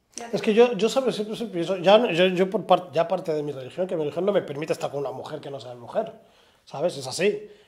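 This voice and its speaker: Talking very fast, a man uses a high pitch, lively intonation and big swings in loudness. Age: 30s. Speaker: podcast host. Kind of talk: interview conversation. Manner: halting. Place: studio.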